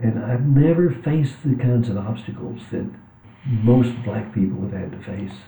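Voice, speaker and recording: A man with a Texan accent speaks at a moderate pace and medium pitch with ordinary pitch variation, with audible room echo. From US, West Texas. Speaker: author and religion professor. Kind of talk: interview conversation.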